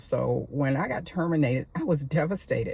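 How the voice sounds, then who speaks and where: The woman speaks at a moderate pace with vocal fry. Her pitch varies in an ordinary way. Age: 70s. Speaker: retired real estate worker and video blogger. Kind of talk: personal storytelling monologue. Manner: halting, with fillers and restarts.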